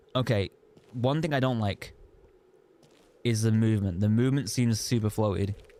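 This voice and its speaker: Speaking at a moderate pace with long, frequent pauses, a man with an English accent has a dark, mellow tone at medium pitch, ordinary pitch variation and very even loudness. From England. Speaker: gaming streamer. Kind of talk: live gameplay commentary. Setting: live stream. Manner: animated.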